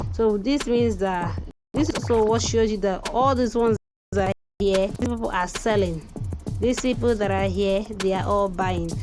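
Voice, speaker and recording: Music plays in the background as a woman with a Nigerian accent speaks at very even loudness, with audible room echo. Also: moderate pace. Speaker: crypto trading tutor. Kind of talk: tutorial. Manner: halting, many fillers.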